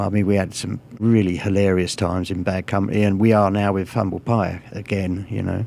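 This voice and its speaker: Talking at a fairly quick pace with hardly any pauses, a man with a Hertfordshire accent has a fairly low pitch, a dark, mellow tone and fairly even intonation. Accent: English accent from Hertfordshire. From England, Cheshunt in Hertfordshire. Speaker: rock guitarist. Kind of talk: radio interview.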